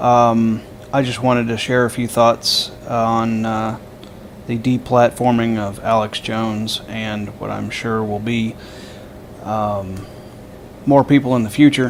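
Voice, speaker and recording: Delivered at a very slow pace in a monotone, flat voice, the speech has long, frequent pauses. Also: man, medium pitch for a man. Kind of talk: casual political commentary to camera. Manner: hesitant, stammering.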